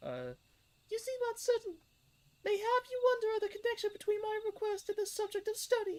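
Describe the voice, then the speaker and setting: A squeaky, extremely high put-on character voice at a fairly quick pace. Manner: self-conscious, cringy put-on voice.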